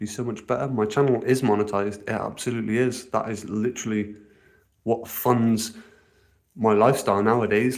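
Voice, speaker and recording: A man's medium-pitched voice in an English accent, flat and monotone, at a moderate pace. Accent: posh, well-spoken English. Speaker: outdoor living vlogger. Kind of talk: casual live stream chat. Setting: outdoors.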